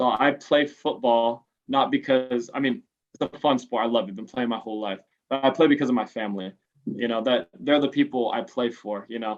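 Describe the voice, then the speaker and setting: In an American accent, a man talks at a fairly quick pace with a medium pitch and ordinary pitch variation. He has a normal speaking voice. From Los Angeles, San Fernando Valley. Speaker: American football quarterback. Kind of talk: interview. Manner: casual.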